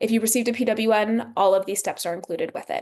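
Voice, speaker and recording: A woman with a fairly high voice shows ordinary pitch variation. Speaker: school district special education staff. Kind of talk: workshop presentation. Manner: fast.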